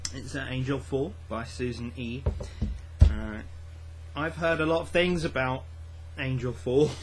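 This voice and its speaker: Fairly slow speech full of long, frequent pauses, very wide pitch swings and big swings in loudness, with audible room echo and noticeable background noise. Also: man, medium pitch for a man. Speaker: book vlogger. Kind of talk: casual vlog. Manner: quiet; hesitant, many fillers and repeats.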